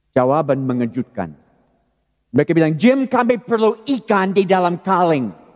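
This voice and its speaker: A man's fairly slow speech, dry and close with no echo. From California, US. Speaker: pastor. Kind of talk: sermon. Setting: church.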